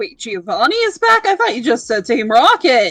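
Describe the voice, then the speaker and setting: At a moderate speed, the put-on character voice swings very widely in pitch. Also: female-sounding voice. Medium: actual play. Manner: bubbly, excitable.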